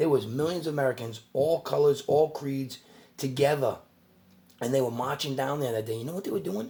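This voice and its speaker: A man talks at a fairly quick pace with a fairly high pitch and ordinary pitch variation. His voice is somewhat breathy, with a dark, mellow tone. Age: 40s. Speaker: YouTuber. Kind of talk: casual rant to camera. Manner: fast; animated.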